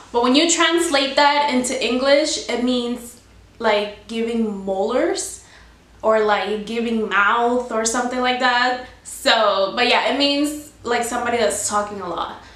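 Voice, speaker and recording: A woman with a Spanish accent, high pitch and ordinary pitch variation, at a fairly slow pace, amid audible room echo and noticeable background noise. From Cuba, raised in US from about age seven. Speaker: YouTuber. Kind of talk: casual explainer vlog.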